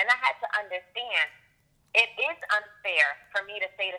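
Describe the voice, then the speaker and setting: With ordinary pitch variation, a woman talks in an animated tone. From US Northeast, Puerto Rican heritage. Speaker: author and abuse prevention specialist. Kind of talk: interview.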